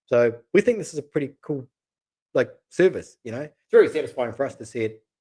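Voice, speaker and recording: A man with a New Zealand accent at a fairly high pitch and fairly quick pace. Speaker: matchmaker, channel co-host. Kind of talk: live stream chat. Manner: casual, repetitive fillers.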